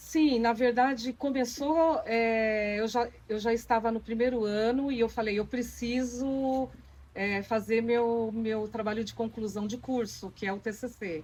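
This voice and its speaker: A woman speaks in a normal speaking voice at a fairly high pitch, at a fairly slow pace with fairly even intonation and hardly any pauses. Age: 50s. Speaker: papier-mâché doll maker. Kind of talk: documentary interview.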